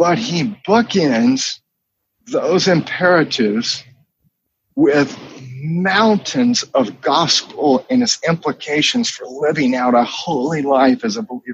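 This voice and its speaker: A man with an American accent, high pitch, very wide pitch swings and a very slow pace. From US South, North Carolina (Charlotte). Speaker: pastor. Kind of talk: interview. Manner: halting.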